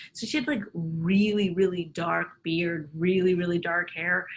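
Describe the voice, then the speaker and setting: Using an ordinary speaking voice, a woman talks at a fairly slow pace with medium pitch and fairly even intonation. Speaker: comedian. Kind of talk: casual chat.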